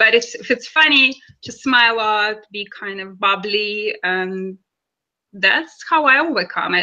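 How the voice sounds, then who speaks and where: Bright, sharp tone from a woman pitched fairly high. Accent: Russian. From Russia, Kaliningrad. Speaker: actress and model. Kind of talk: interview.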